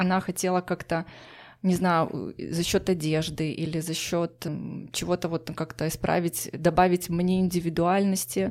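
A woman in a plain, everyday voice speaks at a fairly slow pace with fairly low pitch and fairly even intonation, captured in a very clean recording with a silent background. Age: 30s. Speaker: psychologist. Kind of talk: personal story interview.

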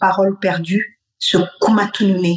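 This woman talks with a Malian accent. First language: Bambara (speaking French). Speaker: cultural heritage expert. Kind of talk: radio interview.

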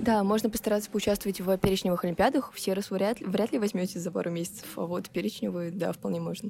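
Vocal fry and a dark, mellow tone from a woman talking at a very fast pace with hardly any pauses and ordinary pitch variation. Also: medium pitch for a woman. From Russia, Nizhny Novgorod. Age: 18. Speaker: first-year university student. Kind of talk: casual interview.

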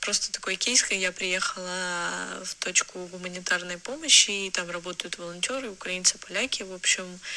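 A woman with a bright, sharp tone and a medium pitch speaks at a moderate pace with hardly any pauses, fairly even intonation and big swings in loudness. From Ukraine. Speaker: listener with a story. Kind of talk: recorded listener message.

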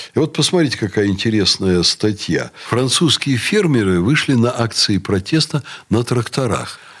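A man's medium-pitched, unremarkable speaking voice with lively intonation, very even loudness and a moderate pace. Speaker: university rector. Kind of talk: radio talk show interview. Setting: studio.

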